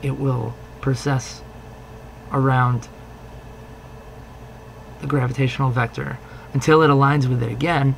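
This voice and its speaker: A man talks at a moderate pace in a medium pitch. His intonation is monotone and flat, and the background noise is noticeable. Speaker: science instructor. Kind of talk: lecture demonstration. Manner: hesitant, casual.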